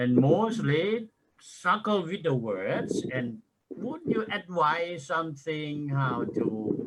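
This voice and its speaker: A man with a Thai accent speaks at a very slow pace, his pitch swinging very widely. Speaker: university lecturer. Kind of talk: audience question. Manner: halting.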